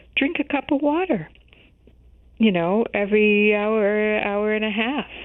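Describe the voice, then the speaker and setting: A woman with an American accent speaks at a fairly slow pace in a fairly high pitch, using ordinary pitch variation and a plain, everyday voice. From US Midwest, Chicago. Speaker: health journalist. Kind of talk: interview.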